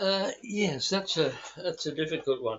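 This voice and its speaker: Keeping a moderate pace, a man talks with an Australian accent. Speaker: former war correspondent. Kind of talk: interview. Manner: halting, many repeats and fillers.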